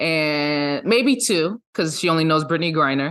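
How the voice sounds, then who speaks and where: A woman with an American accent talks at a moderate pace in an ordinary speaking voice, her pitch fairly low with ordinary pitch variation. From US South, Georgia (south of Atlanta). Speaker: business founder and CEO. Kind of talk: interview conversation.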